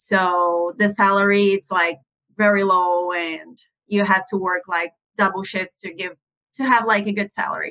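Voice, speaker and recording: Keeping fairly even intonation, a woman with a Portuguese accent speaks at a moderate pace in a medium-pitched voice. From Brazil. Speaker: international nurse. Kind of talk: casual interview.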